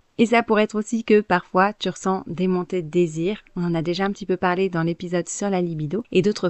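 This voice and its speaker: A woman speaks at a medium pitch in a plain, everyday voice with ordinary pitch variation. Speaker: podcast host, cycle awareness coach. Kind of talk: solo podcast monologue. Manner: conversational, informal.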